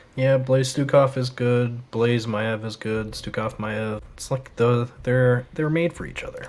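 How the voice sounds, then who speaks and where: Speaking at a fairly slow pace with hardly any pauses, the voice comes through over noticeable background noise. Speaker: esports caster. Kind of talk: live commentary. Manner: loud.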